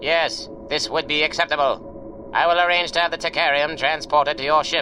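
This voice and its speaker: Against clear background noise, a man does a put-on character voice at a fairly high pitch and a moderate pace. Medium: audio drama. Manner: stately, formal.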